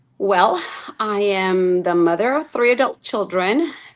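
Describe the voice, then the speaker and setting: With a Spanish accent, a woman speaks at a fairly slow pace in a medium pitch. Her pitch variation is ordinary, and the background is quiet. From Chicago, US Midwest. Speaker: teacher. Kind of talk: interview. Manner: conversational.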